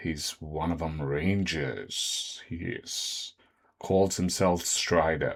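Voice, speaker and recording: Quietly and at a very slow pace, a man speaks in a put-on character voice pitched very deep and low. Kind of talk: rustic, dialect. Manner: hushed, lowered voice.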